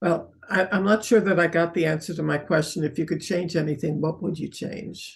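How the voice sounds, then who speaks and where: A woman's somewhat breathy voice at a fairly low pitch, fairly quick in pace with hardly any pauses and fairly even intonation. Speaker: interviewer for local civic group. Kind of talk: interview.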